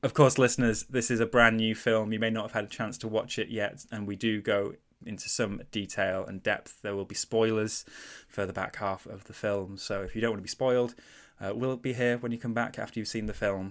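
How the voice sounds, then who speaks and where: On a very clean recording with a silent background, a man with a Mancunian accent talks at a fairly quick pace with fairly even intonation. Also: medium pitch for a man. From Manchester, northern England. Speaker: podcast host. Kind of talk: casual chat.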